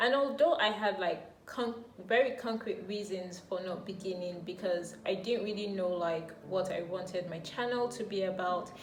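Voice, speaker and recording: A woman's medium-pitched voice at a moderate pace with hardly any pauses and ordinary pitch variation, over noticeable background noise. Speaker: YouTuber and amateur writer. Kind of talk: casual talk to camera. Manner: reflective, encouraging.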